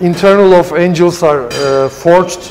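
A man with a Turkish accent against light background noise. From Turkey. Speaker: custom car shop owner. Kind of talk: shop tour interview. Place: garage. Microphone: lapel.

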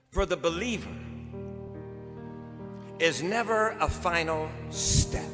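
Music plays in the background. A man speaks at a high pitch. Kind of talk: eulogy sermon. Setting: church. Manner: powerful, impassioned. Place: church.

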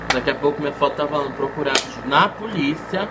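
The speech moves at a moderate pace beneath loud background noise. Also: man. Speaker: vlogger. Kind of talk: casual vlog chat. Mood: cheerful, joking. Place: home room. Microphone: phone near.

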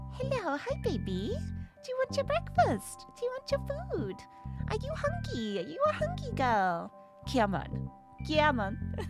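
A woman puts on a character voice at a fairly slow pace, with clear music playing in the background. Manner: sweet, coaxing.

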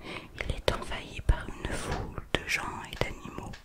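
Whispering at a very slow pace fills the clip. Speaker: ASMR creator. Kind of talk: whispered ASMR reading of an art book. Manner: whispered. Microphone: studio mic.

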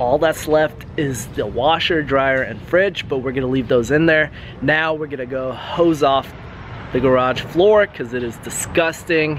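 Over clear background noise, a man speaks at a fairly slow pace, with a medium pitch and ordinary pitch variation.

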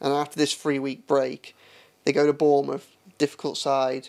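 A man speaks at a moderate pace in a fairly high pitch, his intonation monotone and flat against a quiet background. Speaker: football correspondent. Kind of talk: football podcast analysis. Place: studio. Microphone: studio mic.

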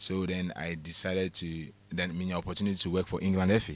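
A man speaks in a flat monotone, the sound dry with no echo. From Ghana. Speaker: former football club general manager; guest. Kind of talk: radio interview. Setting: radio studio. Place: studio. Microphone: studio mic.

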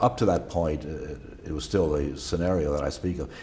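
This man has a very deep, low pitch. Light background noise is present. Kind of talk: interview answer. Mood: calm, reflective recollection. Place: studio.

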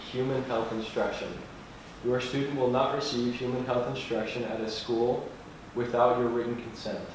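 A man speaks at a moderate pace. Noticeable background noise and strong room echo are present. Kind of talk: reading aloud a document. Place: hall.

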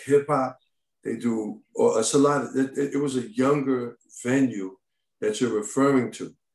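In an American accent, a man speaks at a moderate pace with a medium pitch and fairly even intonation, against a quiet background with audible room echo. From Brooklyn, New York; New York. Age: 50s. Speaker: comedy club owner. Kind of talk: community board hearing. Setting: video call. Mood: defensive, insistent. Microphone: video call.

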